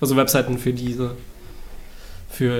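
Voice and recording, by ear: Slightly mellow in tone, the voice moves at a moderate pace amid audible room echo. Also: man.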